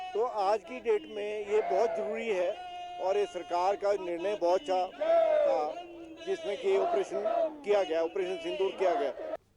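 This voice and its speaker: A high-pitched man's voice with lively intonation over crowd noise in the background. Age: 60s. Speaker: rally participant. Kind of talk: news interview soundbite.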